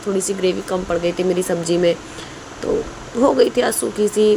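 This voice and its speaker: A woman at a medium pitch and moderate pace, with noticeable background noise. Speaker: cooking vlogger. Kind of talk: casual vlog narration. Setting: home kitchen.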